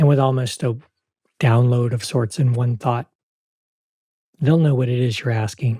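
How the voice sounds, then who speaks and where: With a gentle, dark, mellow tone, a man speaks at medium pitch and a moderate pace. His voice is somewhat breathy and his intonation fairly even. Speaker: parts work teacher. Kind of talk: guided practice demonstration; tutorial.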